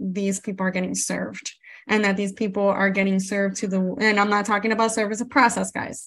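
A woman with a Spanish accent speaks in a monotone, flat intonation on a very clean recording with a silent background. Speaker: podcast host, paralegal and legal educator. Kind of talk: casual interview chat.

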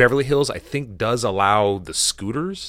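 A man talks with an American accent in a normal speaking voice, at a moderate pace with ordinary pitch variation. The recording is very clean, with a silent background. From United States. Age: 40s. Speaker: lawyer and podcast co-host. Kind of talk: casual chat.

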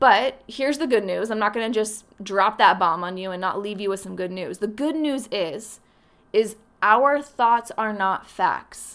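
This is a plain, everyday voice with ordinary pitch variation, delivered at a fairly slow pace. The recording is very clean, with a silent background. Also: woman, fairly high pitch for a woman. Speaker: podcast host. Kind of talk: solo podcast monologue, motivational.

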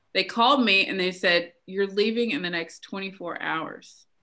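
In a very clean recording with a silent background, a woman speaks with a bright, sharp tone. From Tennessee. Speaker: entrepreneur, Air Force veteran. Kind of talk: interview.

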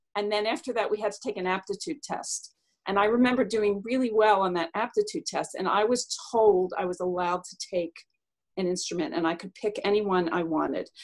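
A woman's ordinary speaking voice at medium pitch, with ordinary pitch variation and a fairly quick pace. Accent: American. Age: 60s. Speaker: concert cellist and music teacher. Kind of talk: casual storytelling interview.

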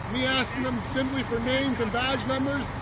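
Noticeable background noise behind a man's fairly quick speech. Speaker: protester and eyewitness. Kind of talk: eyewitness account. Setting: outdoors on the street.

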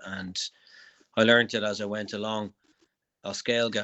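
Delivered with an Irish accent, the speech has monotone, flat intonation. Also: man. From Ireland. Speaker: comedian. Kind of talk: interview. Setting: remote call.

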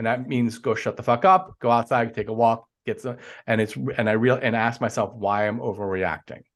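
At a fairly quick pace, a man talks with ordinary pitch variation. He has an unremarkable speaking voice with a medium pitch. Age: 40s. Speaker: life coach. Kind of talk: casual interview chat.

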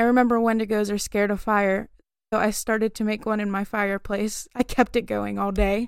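Her tone animated, a woman speaks at a fairly quick pace and a fairly high pitch. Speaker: podcast co-host. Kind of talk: casual chat, reads listener stories aloud. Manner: animated, giggly.

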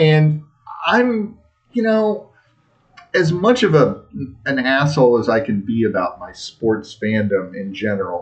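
A man speaks at a fairly slow pace with long, frequent pauses and very wide pitch swings. His pitch is medium, and music plays in the background. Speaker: soccer podcast co-host. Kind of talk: casual chat. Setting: bar basement. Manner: slow, deliberate with pauses.

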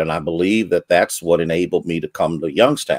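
The recording is very clean, with a silent background. A man speaks in a very deep, low voice. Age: 60s. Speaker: pastor. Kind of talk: panel discussion.

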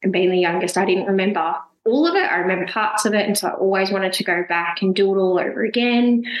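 Delivered at a very fast pace in an Australian accent, the speech has very even loudness, fairly even intonation and audible room echo. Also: woman, medium pitch for a woman. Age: 20s. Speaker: full-time traveller. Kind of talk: casual interview.

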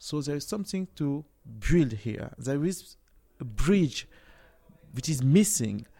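A man with a fairly high pitch and a dark, mellow tone talks at a fairly slow pace, his voice making very wide pitch swings. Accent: French. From France, Cameroonian family. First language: French. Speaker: tech startup CEO. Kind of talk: interview. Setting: tech conference.

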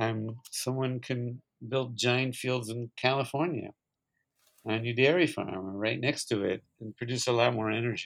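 A man with an American accent speaks in a normal speaking voice at medium pitch. His pace is moderate and his intonation fairly even. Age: 50s. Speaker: green energy CEO. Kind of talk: interview.

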